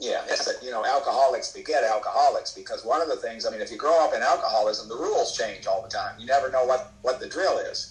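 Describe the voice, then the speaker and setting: Against noticeable background noise, a man races at a very fast pace with hardly any pauses and big swings in loudness. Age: 70s. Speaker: AA speaker sharing recovery story. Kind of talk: testimony. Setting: video call.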